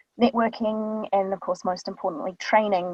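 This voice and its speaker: Somewhat breathy, the voice moves at a fairly quick pace with a New Zealand accent. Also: woman. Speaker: voice actor. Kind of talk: casual talk on a live online show. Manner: many filler ums.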